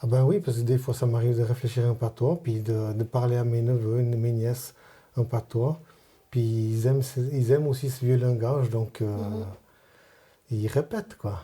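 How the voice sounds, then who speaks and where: A man speaks at a moderate pace in a medium pitch, his tone dark, mellow and somewhat breathy. His intonation stays fairly even, broken by long, frequent pauses. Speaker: Vaud patois learner. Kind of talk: interview answer. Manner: casual, conversational.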